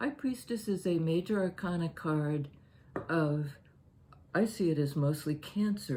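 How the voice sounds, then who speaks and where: A woman's somewhat breathy voice, dark and mellow in tone, very deep and low in pitch, at a fairly slow pace. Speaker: tarot reader. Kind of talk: tarot reading. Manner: halting.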